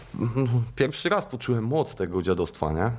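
A man speaks at a moderate pace. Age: 30s. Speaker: recovering addict and running event organizer. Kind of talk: casual interview.

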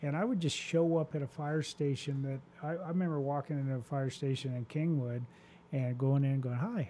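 A man with an American accent speaks at a very fast pace, his pitch fairly high and varying in an ordinary way. His tone is dark and mellow. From US Southwest desert. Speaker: fire chief. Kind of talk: casual interview.

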